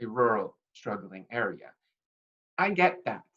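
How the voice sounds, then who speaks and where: A woman talks at a fairly slow pace with vocal fry. Her pitch swings very widely. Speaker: political candidate and teacher. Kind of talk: campaign video monologue.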